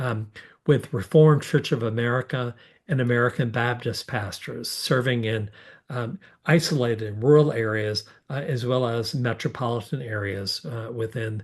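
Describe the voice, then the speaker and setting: Somewhat breathy speech at a moderate pace with ordinary pitch variation over a quiet background. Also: man. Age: 60s. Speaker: bishop. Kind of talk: public Q&A forum answer. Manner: halting, many fillers.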